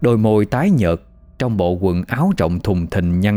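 Simple, plain reading aloud

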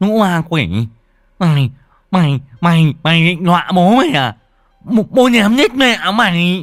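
Using a put-on character voice, a man speaks at a high pitch and a fairly slow pace, with very wide pitch swings and long, frequent pauses.

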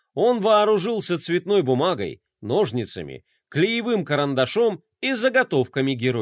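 A natural reading voice comes through with a quiet background.

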